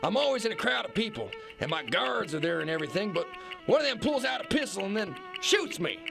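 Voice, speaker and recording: In a shaky, put-on character voice, a man rattles along at a very fast pace over clear music in the background. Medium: audio drama. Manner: blustering, folksy.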